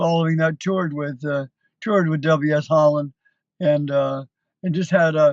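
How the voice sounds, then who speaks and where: Using a plain, everyday voice, a man with a Canadian accent speaks at a moderate pace. His pitch is fairly high and his intonation fairly even. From Canada, Hamilton, Ontario. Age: 60s. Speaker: country musician, tribute performer. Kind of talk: interview. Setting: TV studio.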